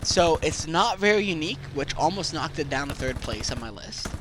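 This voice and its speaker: A man's intonation is lively, with noticeable noise in the background. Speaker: video game guide creator. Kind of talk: game guide voice-over.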